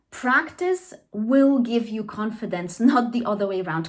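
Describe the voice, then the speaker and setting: A somewhat breathy woman's voice with lively intonation and a Polish accent. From Poland. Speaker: trauma therapist and language teacher. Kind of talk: educational monologue. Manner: conversational, with frequent fillers and self-corrections.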